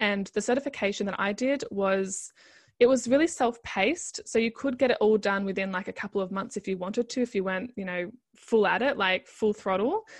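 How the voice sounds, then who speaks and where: Against a quiet background, a woman with an Australian accent talks at a fairly quick pace. Her voice sits at medium pitch with ordinary variation. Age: 30s. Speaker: life coach. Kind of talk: interview.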